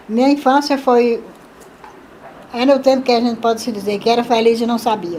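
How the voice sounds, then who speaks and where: Over noticeable background noise, a woman talks at a fairly quick pace and high pitch. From Brazil, Pernambuco sertão (Salgueiro). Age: 70s. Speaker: retired teacher and seamstress. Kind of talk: life story interview. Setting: at her home.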